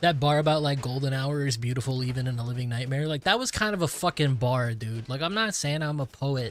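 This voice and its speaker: A man with an American accent talks at a very fast pace with hardly any pauses. His pitch is medium, with ordinary variation. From United States. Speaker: gaming streamer. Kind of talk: casual live-stream chat. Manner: rambling, halting with many fillers.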